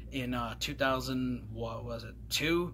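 Light noise runs in the background as a man talks. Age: 30s. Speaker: gaming YouTuber; game collector vlogger. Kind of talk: casual vlog monologue; casual vlog chat. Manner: hesitant, filler-heavy. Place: home room. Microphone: phone near.

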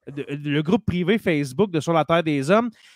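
Speaking in a Quebec accent, a man goes at a fairly slow pace with lively intonation in a dry sound with no echo. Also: quiet background. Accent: Québécois French. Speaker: teacher and podcast host; teacher, podcast host. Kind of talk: casual chat. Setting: live stream. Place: home room. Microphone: studio mic.

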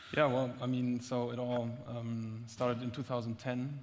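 Flat, monotone male speech at a medium pitch. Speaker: startup executive. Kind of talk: panel discussion. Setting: stage with audience. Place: stage. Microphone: headset.

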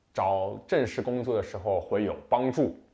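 Fairly slow speech from a man, with a quiet background. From China. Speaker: international student vlogger. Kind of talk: casual advice monologue. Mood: relaxed, friendly. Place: home room. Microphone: lapel.

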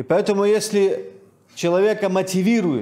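Fairly slow speech from a man, set against a quiet background. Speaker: preacher. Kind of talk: sermon. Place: church. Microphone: podium.

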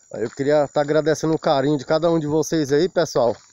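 The man's voice has a dry sound with no echo. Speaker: fishing vlogger. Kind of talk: casual vlog chat. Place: open country. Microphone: phone near.

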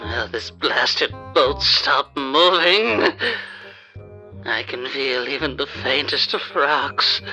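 Over faint background music, a man does a put-on character voice with a bright, sharp tone, speaking slowly with ordinary pitch variation. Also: medium pitch for a man.

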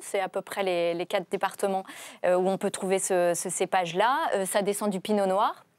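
The woman talks at a moderate pace with fairly even intonation. The sound is dry, with no echo. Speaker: TV host. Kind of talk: interview presenting. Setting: studio. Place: studio. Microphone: lapel.

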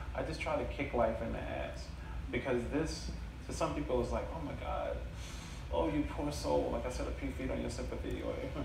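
A man talks at a fairly quick pace. Audible room echo and noticeable background noise surround him. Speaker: storyteller. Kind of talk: live storytelling / stand-up style comedy set with audience. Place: stage. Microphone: camera far.

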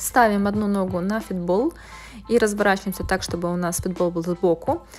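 Clear background music behind a female voice at a moderate tempo. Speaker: fitness instructor. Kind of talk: tutorial. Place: gym.

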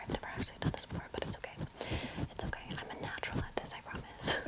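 Soft-spoken and whispering, a woman talks at a very fast pace. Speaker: makeup roleplay host. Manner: soft close-mic ASMR whisper. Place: home room. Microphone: studio mic.

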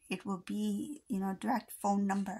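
The woman's voice is somewhat breathy at a moderate pace. The background is quiet. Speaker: intuitive charm reader. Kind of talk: casual reading commentary. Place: home room.

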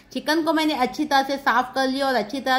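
A woman speaks at a high pitch with fairly even intonation. Her pace is moderate. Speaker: cooking vlogger. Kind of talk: cooking tutorial. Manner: chatty. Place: kitchen. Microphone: phone near.

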